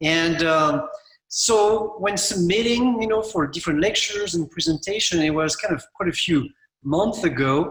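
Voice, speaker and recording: With a French accent, this man speaks in a high pitch with lively intonation and very even loudness. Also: moderate pace. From France. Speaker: landscape architect. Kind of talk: conference presentation. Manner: halting.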